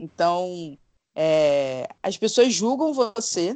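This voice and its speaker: The sound here is dry and close, with no echo. A woman talks with very wide swings in pitch. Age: 40s. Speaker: podcaster. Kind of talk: casual chat.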